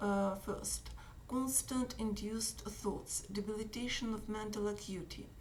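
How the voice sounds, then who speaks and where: A woman's fairly high-pitched voice with a Russian accent, fairly slow and flatly monotone, in a room with audible echo. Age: 60s. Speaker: activist. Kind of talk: reading aloud. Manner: halting.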